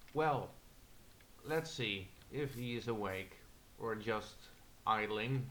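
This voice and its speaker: Speaking at a very slow pace with long, frequent pauses, a man uses a medium pitch and ordinary pitch variation in a room with audible echo. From Netherlands. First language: Dutch. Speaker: gamer. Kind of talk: gameplay commentary. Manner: halting.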